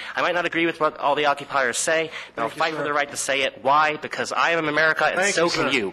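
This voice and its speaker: A man's fairly high voice at a very fast pace, with hardly any pauses, fairly even intonation, and noticeable background noise. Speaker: war veteran. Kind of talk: public comment speech.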